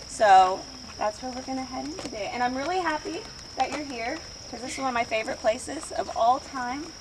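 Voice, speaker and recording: With an American accent and a high pitch, a woman speaks at a moderate pace over noticeable background noise. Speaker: oral history speaker, landowner family member. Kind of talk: guided walk tour talk. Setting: outdoors.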